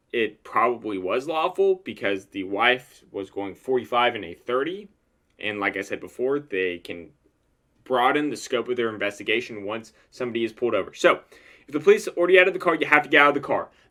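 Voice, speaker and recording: Mumbling at a fairly quick pace, a man with a bright, sharp tone and medium pitch makes very wide pitch swings and big swings in loudness on a very clean recording with a silent background. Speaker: lawyer commenting on videos. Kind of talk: legal analysis monologue. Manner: explanatory, repetitive emphasis.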